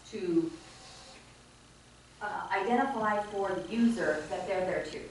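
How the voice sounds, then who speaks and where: Noticeable background noise runs behind this woman's voice. The room echo is audible too. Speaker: speech-language pathologist. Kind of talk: conference presentation. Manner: fast.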